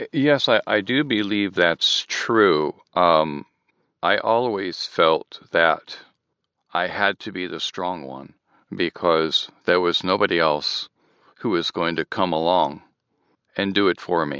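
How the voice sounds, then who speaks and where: A man with an American accent talks at a very slow pace in a very deep, low pitch, with ordinary pitch variation and a bright, sharp tone. The sound is dry and close with no echo, and the background is quiet. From Michigan, US. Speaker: therapy client, voiceover artist. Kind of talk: therapy session, personal narrative.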